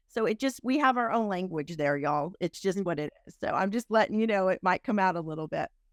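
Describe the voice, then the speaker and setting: A woman with a Texan accent at a medium pitch, very fast pace with hardly any pauses and lively intonation, in a very clean, silent recording with a dry, close sound and no echo. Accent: Texan twang. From Texas (Houston area). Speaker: entrepreneur and interviewer. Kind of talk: interview conversation.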